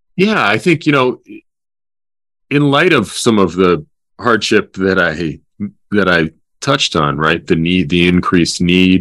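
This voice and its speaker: Speaking at a fairly slow pace with long, frequent pauses, a man with a very deep, low pitch keeps his loudness very even while his intonation stays lively. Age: 50s. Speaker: nonprofit executive director. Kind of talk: interview. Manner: hesitant, many fillers.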